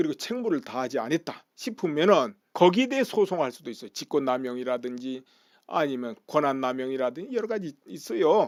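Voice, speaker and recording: A man with a fairly high voice talks at a fairly quick pace with very wide pitch swings, captured in a very clean recording with a silent background. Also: big swings in loudness. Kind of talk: political commentary talk. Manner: casual, conversational.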